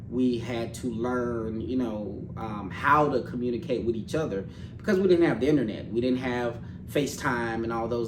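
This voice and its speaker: With audible room echo and noticeable background noise, a man at medium pitch talks at a moderate pace, his pitch varying in an ordinary way. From Little Rock, Arkansas, US South. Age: 40s. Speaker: financial services professional. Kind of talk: interview conversation.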